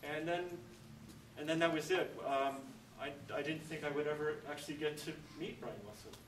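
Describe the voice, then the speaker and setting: A man's fairly high-pitched voice at a fairly quick pace, with fairly even intonation, long, frequent pauses and audible room echo. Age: 50s. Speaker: event organizer introducing speaker. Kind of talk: introductory speech. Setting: church dining hall with audience.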